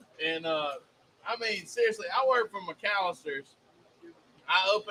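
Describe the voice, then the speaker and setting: A man talks at a moderate pace with a Southern accent. His pitch varies in an ordinary way. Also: long, frequent pauses. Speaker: cooking show co-host. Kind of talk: casual chat. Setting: live stream studio.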